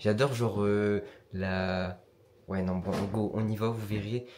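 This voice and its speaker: At a fairly slow pace, the speaker's intonation stays fairly even. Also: man. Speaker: vlogger. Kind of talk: vlog.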